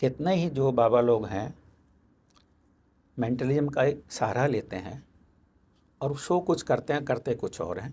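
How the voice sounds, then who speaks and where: A man speaks at medium pitch in a somewhat breathy voice with lively intonation. His speech has long, frequent pauses. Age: 70s. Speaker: mentalist and magician. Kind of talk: interview conversation.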